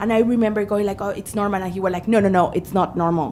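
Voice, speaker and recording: A woman with a strong non-native accent speaks at medium pitch with monotone, flat intonation. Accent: thick foreign. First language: not English. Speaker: witness at a parliamentary inquiry, mother. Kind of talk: testimony. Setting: parliamentary committee hearing.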